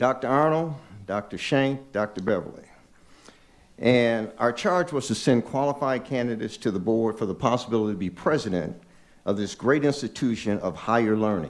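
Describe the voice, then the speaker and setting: A man with an American accent speaks at medium pitch and a moderate pace. He has a plain, everyday voice. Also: ordinary pitch variation. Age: 60s. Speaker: public commenter at board meeting. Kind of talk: public comment speech. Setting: board meeting.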